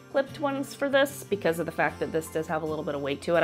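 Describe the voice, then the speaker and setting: Over music in the background, a woman with an American accent talks at a fairly quick pace, her pitch swinging very widely. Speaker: stay-at-home mom. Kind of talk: casual product review to camera.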